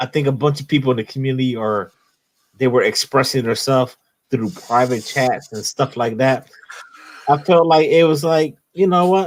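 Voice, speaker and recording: At a moderate pace, a man with an American accent talks in a medium pitch with ordinary pitch variation. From Philadelphia, US. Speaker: comics YouTube host. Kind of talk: casual livestream chat. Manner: animated.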